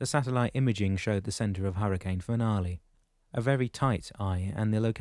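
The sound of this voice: Unforced reading voice, with pitch that varies as usual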